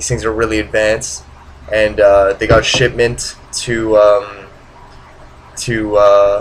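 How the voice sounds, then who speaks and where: Against clearly audible background noise, the man delivers his words fairly slowly. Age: 20s. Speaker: vlogger. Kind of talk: casual vlog monologue. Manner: halting, many fillers.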